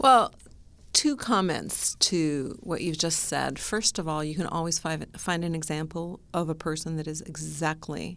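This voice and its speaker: A woman with a Canadian accent speaks at a fairly slow pace in a very deep, low pitch, with vocal fry and ordinary pitch variation, on a very clean recording with a silent background. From immigrated to Canada very young. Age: 60s. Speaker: labor economist. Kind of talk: interview.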